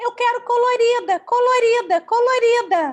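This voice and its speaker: In a put-on, whiny character voice, a woman speaks at extremely high pitch and a moderate pace, her pitch varying in an ordinary way. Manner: irritating, whiny.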